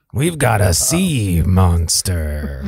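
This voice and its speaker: A man puts on a gruff character voice with a very deep, low pitch. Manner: serious.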